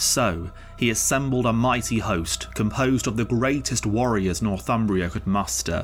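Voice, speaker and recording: With music in the background, a man at a medium pitch speaks in a dramatic tone at a moderate pace. His loudness stays very even, and his pitch varies in an ordinary way. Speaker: narrator and podcast host. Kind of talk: epic saga narration, scripted storytelling. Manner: dramatic, measured, vivid storyteller.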